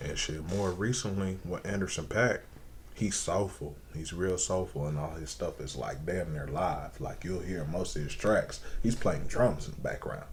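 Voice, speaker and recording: With an American accent, a man talks at a moderate pace in a very deep, low voice with ordinary pitch variation and audible room echo. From Indiana, US Midwest. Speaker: rapper and singer. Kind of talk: casual interview. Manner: animated.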